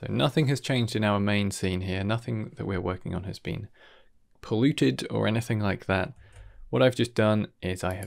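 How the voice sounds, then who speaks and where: Against a quiet background, a man with a fairly low pitch speaks with vocal fry. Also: ordinary pitch variation, moderate pace. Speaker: tutorial creator. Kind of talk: tutorial.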